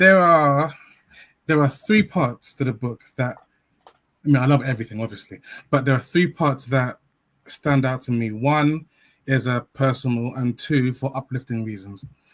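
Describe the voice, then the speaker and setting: Long, frequent pauses break up this man's speech at medium pitch. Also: ordinary pitch variation, moderate pace. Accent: London. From South-East London. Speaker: children's author and teacher. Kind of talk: interview.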